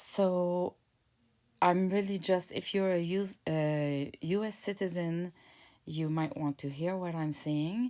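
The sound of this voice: A woman speaks at a slow pace with a fairly low pitch. Her tone is dark and mellow, with ordinary pitch variation.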